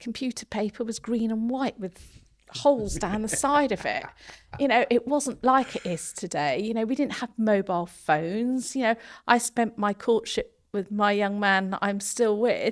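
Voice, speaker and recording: A woman in an English accent, fairly high-pitched with ordinary pitch variation, at a moderate pace in a very clean recording with a silent background. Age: 50s. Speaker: construction social value lead. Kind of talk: podcast interview.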